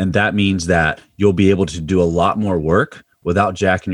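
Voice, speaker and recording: Moderate-paced speech with an American accent and ordinary pitch variation. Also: man. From Pennsylvania. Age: 30s. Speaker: strength and conditioning coach. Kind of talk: casual interview chat.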